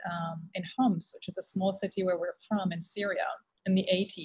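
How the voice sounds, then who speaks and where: A woman's somewhat breathy voice comes through dry, with no echo, over a quiet background. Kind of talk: interview answer. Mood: reflective, relaxed storytelling. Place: office. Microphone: video call.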